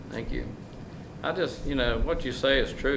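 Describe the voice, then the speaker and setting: Amid noticeable background noise and audible room echo, a man with a North Carolina accent talks at a fairly quick pace. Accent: North Carolina Southern. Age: 70s. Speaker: mayor. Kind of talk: public comment response at council meeting. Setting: council chamber. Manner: loud.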